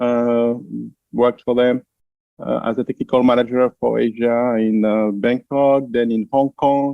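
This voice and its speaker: Speaking with a French accent, a man keeps his medium-pitched voice monotone and flat. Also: fairly slow pace. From France. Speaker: translation company founder. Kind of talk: interview.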